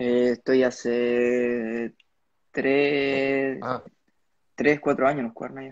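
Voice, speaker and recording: A man with a Chilean accent speaks at a very slow pace in a flat monotone, with long, frequent pauses and big swings in loudness. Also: medium pitch for a man. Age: young. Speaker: motocross rider. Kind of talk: casual interview. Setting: at home, live stream.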